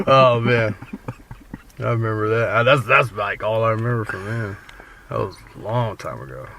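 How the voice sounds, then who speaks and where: With noticeable background noise behind him, a man of medium pitch talks at a moderate pace, with ordinary pitch variation, big swings in loudness, and long, frequent pauses. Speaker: pro wrestler. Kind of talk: casual interview. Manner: quiet.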